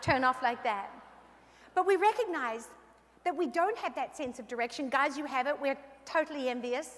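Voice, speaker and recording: A high-pitched woman at a very fast pace over noticeable background noise. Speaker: keynote speaker. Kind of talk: motivational keynote speech. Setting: stage at convention with audience. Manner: animated.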